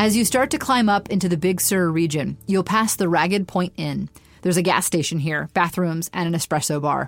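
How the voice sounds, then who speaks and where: Heard in a very clean recording with a silent background, a woman uses a plain, everyday voice with fairly low pitch, ordinary pitch variation, and a fairly quick pace. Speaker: tour guide narrator. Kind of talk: scripted travel-guide narration, walking listeners through the road trip stop by stop.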